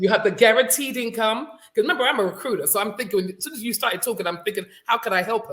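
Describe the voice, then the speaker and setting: A woman with a London accent, fairly high in pitch, very fast, with ordinary pitch variation and big swings in loudness. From London, England. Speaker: career recruiter. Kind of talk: casual group discussion.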